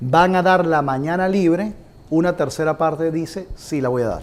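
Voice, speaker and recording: A high-pitched man's voice with lively intonation. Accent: Venezuelan. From Venezuela. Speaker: compensation consultant. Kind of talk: business presentation.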